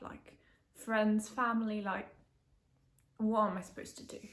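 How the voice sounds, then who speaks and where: A woman speaks in a somewhat breathy voice. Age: 20s. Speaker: patient sharing illness story. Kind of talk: personal testimony vlog. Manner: casual, hesitant with fillers.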